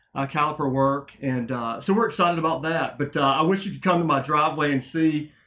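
Bright and sharp in tone, a man talks at a fairly quick pace with hardly any pauses and ordinary pitch variation. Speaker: guest. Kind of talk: interview answer. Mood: upbeat, excited. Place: office. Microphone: studio mic.

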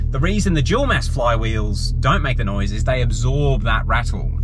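Male speaker, fairly quick delivery, music playing behind. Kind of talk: casual vlog chat. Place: car. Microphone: phone near.

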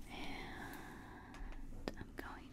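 Loud noise fills the background while she speaks. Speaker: ASMR creator. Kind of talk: soft-spoken ASMR role play. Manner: soft, hushed ASMR voice close to mic. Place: home room. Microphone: studio mic.

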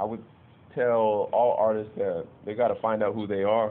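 A man with an American accent talks at a moderate pace and a fairly low pitch, in an ordinary speaking voice. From Lakewood, Washington, US. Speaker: musician and public speaker. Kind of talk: interview. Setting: on location in a city district. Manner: casual, slangy.

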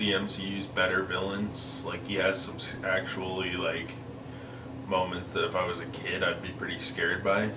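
A man talks at a moderate speed, with noticeable noise in the background. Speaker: movie reviewer. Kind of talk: casual film review commentary. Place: home room. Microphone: camera far.

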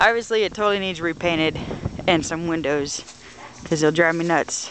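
Noticeable background noise accompanies a fairly quick pace of speech. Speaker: painter. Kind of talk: casual talk to camera.

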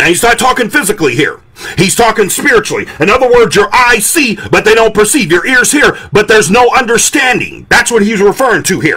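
A man's raised, projected voice, high in pitch, at a fairly quick pace with hardly any pauses, very even loudness and lively intonation, over faint music in the background. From Detroit, Michigan. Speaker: pastor. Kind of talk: sermon. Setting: indoor room, live stream. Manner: animated. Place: home room. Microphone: studio mic.

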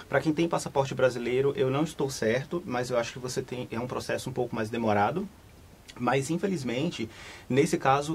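Ordinary pitch variation in a somewhat breathy male voice. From Brazil, Salvador (Bahia). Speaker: travel agent. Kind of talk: live studio interview. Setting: studio. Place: studio.

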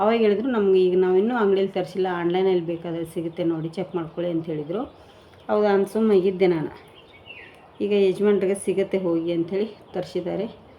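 Medium pitch and fairly even intonation from a woman, against noticeable background noise. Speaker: home cooking vlogger. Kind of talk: casual vlog chat.

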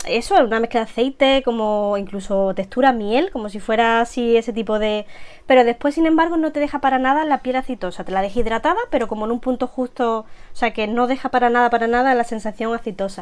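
Talking at a very fast pace, a woman uses a high pitch with ordinary pitch variation. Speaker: beauty vlogger. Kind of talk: casual product review chat. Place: home room.

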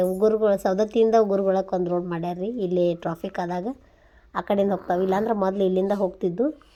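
A woman with a North Karnataka accent, medium in pitch, dark and mellow in tone, with monotone, flat intonation. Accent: north Karnataka Kannada dialect. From northern Karnataka, near Saundatti (Belagavi district). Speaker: vlogger, mother. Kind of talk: travel vlog narration. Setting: outdoors, traveling. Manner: conversational, informal.

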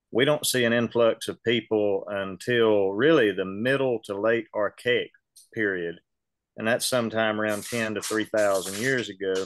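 The sound is dry, with no echo. A man speaks with a Southern US accent and fairly even intonation. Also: moderate pace. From US South. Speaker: local historian and reenactor. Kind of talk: lecture. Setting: video call. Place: office. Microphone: video call.

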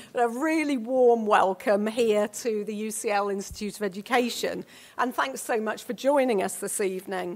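Her voice is fairly high-pitched, with ordinary pitch variation, and the woman keeps a moderate pace. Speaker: event host. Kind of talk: formal introduction speech. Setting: stage with audience. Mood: warm, welcoming. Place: hall. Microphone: podium.

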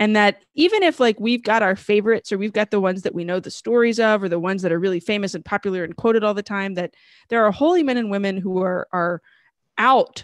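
Very fast speech with ordinary pitch variation, dry with no echo against a quiet background. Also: woman. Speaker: show host. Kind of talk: live show introduction. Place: home room. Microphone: studio mic.

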